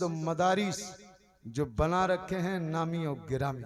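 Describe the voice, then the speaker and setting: Loud and with ordinary pitch variation, a man is speaking. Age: 60s. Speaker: Islamic preacher. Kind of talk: sermon.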